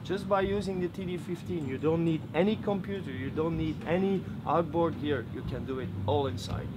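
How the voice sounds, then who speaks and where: Speaking with a Belgian accent, a man uses a high pitch with ordinary variation and a moderate pace. He leaves hardly any pauses, and audible room echo surrounds him. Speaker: product demonstrator. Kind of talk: product demo. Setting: trade fair.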